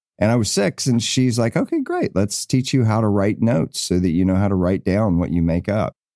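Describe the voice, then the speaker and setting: A man's very fast, lively speech in a dark, mellow tone at a fairly low pitch, dry and close with no echo, on a very clean recording with a silent background. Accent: American. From US South, Appalachian North Carolina. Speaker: film and television composer. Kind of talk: casual interview chat. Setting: podcast interview.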